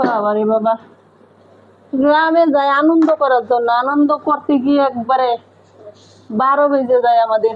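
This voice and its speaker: A woman speaks in a high voice with ordinary pitch movement and very even loudness. There is noticeable noise in the background. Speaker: vlogger. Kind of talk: casual vlog chat.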